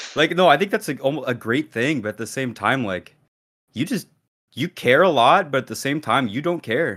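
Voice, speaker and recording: With a normal speaking voice, a man talks at a moderate pace, fairly high in pitch and with lively intonation, on a very clean recording with a silent background. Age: 20s. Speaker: podcast co-host. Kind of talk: casual chat. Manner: casual, laid-back.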